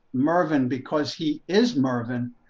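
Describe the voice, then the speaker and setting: In an American accent, the speaker talks at a very slow pace with lively intonation. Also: man. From USA. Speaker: producer. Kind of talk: casual interview chat.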